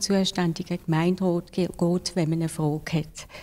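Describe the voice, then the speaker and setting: Her tone dark and mellow, a woman talks at a fairly slow pace. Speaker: council president; local council president. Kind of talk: interview. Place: office. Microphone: handheld.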